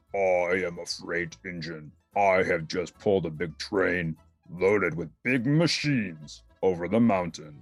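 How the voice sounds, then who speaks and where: Fairly slow delivery in a put-on character voice, faint music playing behind it. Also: man, very deep, low pitch for a man. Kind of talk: children's book read-aloud.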